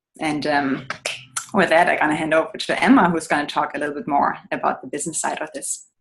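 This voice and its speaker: A woman with a German accent talks at a very fast pace in a very deep, low voice with fairly even intonation. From Germany. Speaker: business owner. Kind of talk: testimony.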